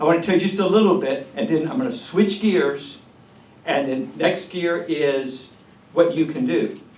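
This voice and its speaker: This man's intonation is lively, and audible room echo surrounds his speech. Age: 70s. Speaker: retired pastor. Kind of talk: speech to a political meeting. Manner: animated.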